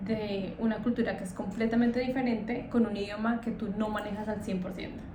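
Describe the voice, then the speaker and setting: A woman's fairly high-pitched voice with audible room echo and noticeable background noise. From Colombia. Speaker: scholarship student and vlogger. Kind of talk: casual interview.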